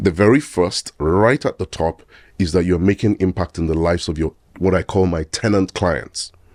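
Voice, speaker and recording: This man speaks at a very deep, low pitch. The sound is dry and close with no echo, over a quiet background. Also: ordinary pitch variation, moderate pace. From Nigeria. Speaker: physician and real estate investor. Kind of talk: podcast interview.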